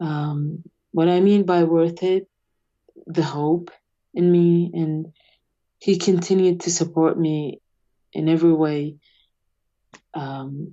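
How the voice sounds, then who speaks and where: A woman speaks very slowly at a fairly low pitch, with long, frequent pauses. Her intonation is monotone and flat. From Iraq. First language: Arabic. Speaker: atheist activist, immigrant. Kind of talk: interview. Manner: halting, many fillers.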